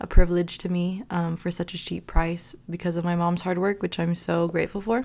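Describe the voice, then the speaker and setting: On a very clean recording with a silent background, a woman with an American accent talks at a fairly low pitch and with fairly even intonation. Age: 20s. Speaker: podcast host, pre-med student. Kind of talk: casual solo monologue.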